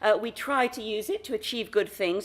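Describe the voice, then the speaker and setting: With an American accent and a normal speaking voice, a woman talks at a fairly high pitch and a fairly quick pace. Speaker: foundation director, workshop facilitator. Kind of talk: conference talk.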